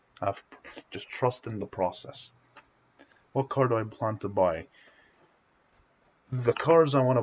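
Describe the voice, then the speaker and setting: Somewhat breathy speech moves at a fairly slow pace, broken by long, frequent pauses. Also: man, ordinary pitch variation. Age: young. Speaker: gaming streamer. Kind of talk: casual live stream Q&A. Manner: halting.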